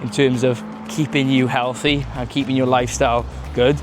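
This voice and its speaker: An upbeat man with a Welsh accent, music in the background. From Wales. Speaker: podcast host. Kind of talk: casual talk to camera. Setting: outdoors.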